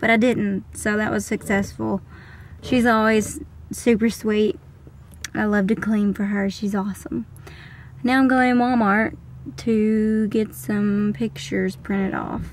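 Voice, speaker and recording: A woman speaks at a fairly slow pace, with long, frequent pauses. The sound is dry with no echo, and there is light background noise. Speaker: vlogger. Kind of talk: casual vlog chat. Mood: relaxed, cheerful. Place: car. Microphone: phone near.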